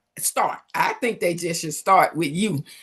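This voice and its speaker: An animated woman with a Southern US accent at a fairly slow pace. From US South. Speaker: business coach and livestream host. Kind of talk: live interview. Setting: livestream.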